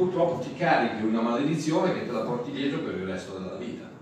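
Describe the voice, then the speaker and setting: A man's voice in strong room echo, with light background noise. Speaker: pastor. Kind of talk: sermon. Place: hall.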